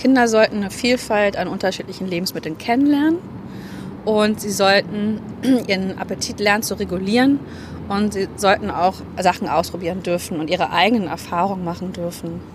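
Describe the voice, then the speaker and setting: A woman's medium-pitched voice moves at a fairly quick clip, its pitch varying normally, while noticeable noise runs underneath. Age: 30s. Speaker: fitness coach. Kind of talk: interview.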